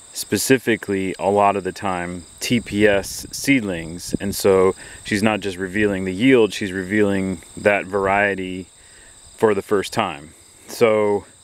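A man talks in a normal speaking voice, fairly low in pitch, with fairly even intonation. The sound is dry with no echo. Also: fairly slow pace. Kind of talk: casual vlog chat. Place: farm. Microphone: phone near.

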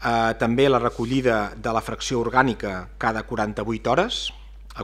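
A man speaking at a fairly slow pace. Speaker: municipal official. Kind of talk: press briefing. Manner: halting. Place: hall. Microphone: podium.

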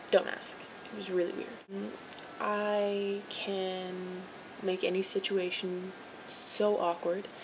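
Very slow speech in a Canadian accent comes with a monotone, flat intonation. Noticeable background noise sits behind it. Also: woman. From Vancouver, Canada. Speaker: vlogger entering a contest. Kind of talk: video dating entry, casual self-introduction. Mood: playful, slightly awkward. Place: home room. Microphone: webcam.

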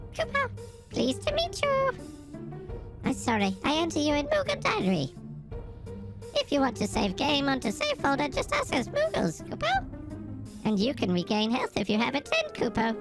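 A woman puts on a squeaky character voice. Music plays in the background. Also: moderate pace. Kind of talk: reading game dialogue aloud in a character voice. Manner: cute, helpful.

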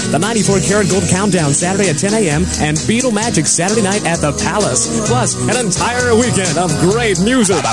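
Someone talks at a very fast pace in a dry sound with no echo while loud music plays in the background. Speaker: radio announcer. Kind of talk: oldies weekend radio promo. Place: studio. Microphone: old recording.

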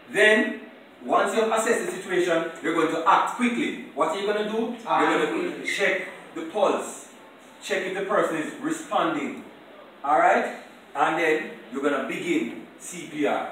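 A man's voice with strong room echo and light background noise. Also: moderate pace. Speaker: first aid instructor. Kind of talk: classroom lecture. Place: classroom. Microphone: camera far.

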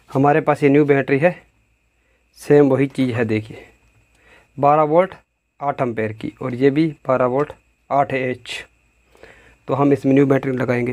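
Long, frequent pauses break up this man's fairly slow delivery. His intonation is fairly even. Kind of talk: tutorial. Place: workshop.

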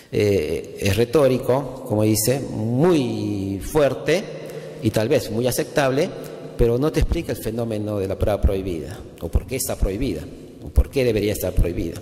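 A man's intonation rises and falls in a lively way, with background noise clearly audible. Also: medium pitch for a man, moderate pace. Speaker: law professor. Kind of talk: conference talk.

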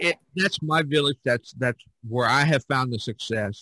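Speaking in a plain, everyday voice, a man talks at a moderate pace with lively intonation. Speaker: podcast host and artist. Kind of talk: casual chat.

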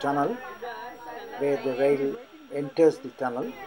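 Someone talks at a fairly quick pace with crowd noise in the background. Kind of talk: travel commentary. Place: train. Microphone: old recording.

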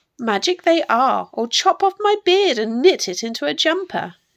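Putting on a croaky character voice, a woman speaks at a moderate pace in a high pitch with very wide pitch swings.

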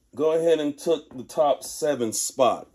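Over a quiet background, a man with an American accent talks at a fairly slow pace. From Texas. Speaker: sneaker content creator. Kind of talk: casual video review. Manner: laid-back, conversational. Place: home room. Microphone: phone near.

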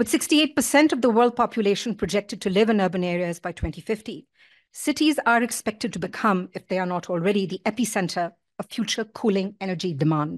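Against a quiet background, a woman talks fairly quickly at a medium pitch with lively intonation. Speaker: academic keynote speaker; keynote speaker. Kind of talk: lecture. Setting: stage with audience. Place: hall. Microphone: podium.

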